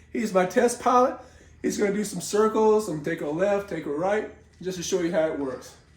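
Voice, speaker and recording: A man talks at a fairly quick pace in a high pitch. His pitch varies in an ordinary way, and background noise is noticeable. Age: 60s. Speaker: hobbyist builder. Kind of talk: casual talk to camera.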